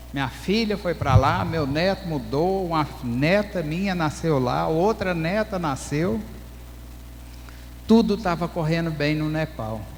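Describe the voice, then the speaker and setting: A man with a rural Brazilian accent speaks at a very slow pace, his fairly high pitch showing ordinary pitch variation. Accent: rural Brazilian accent, unchanged. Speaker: pastor and missionary. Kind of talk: testimony.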